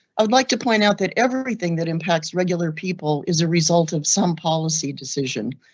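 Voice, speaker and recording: A woman's fairly low voice at a very fast pace, lively in intonation and with hardly any pauses. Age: 60s. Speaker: law student giving public comment. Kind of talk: public comment statement.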